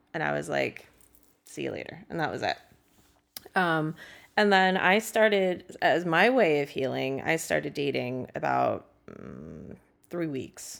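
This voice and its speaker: In a very clean recording with a silent background, a speaker with an American accent talks at a fairly slow pace, with big swings in loudness and long, frequent pauses. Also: woman. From San Francisco, US West Coast. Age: 30s. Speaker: sex toy salesperson. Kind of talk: casual chat.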